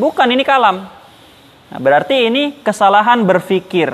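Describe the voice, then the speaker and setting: The man's intonation is lively, and background noise is clearly noticeable. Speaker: Islamic boarding school teacher. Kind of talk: lecture.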